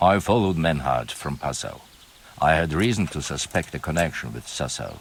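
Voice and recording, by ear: A man puts on a character voice at an extremely low pitch, with a slightly husky edge. His intonation is lively. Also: moderate pace.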